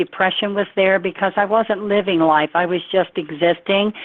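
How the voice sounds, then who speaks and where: A woman speaks at a medium pitch. Noticeable background noise can be heard behind her. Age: 70s. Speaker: nutrition product distributor giving testimonial. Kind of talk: testimony. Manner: animated.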